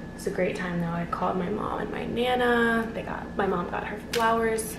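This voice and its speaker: A woman at a moderate pace, fairly even in intonation, amid noticeable background noise. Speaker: vlogger. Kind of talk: casual vlog chat. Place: home room. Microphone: phone near.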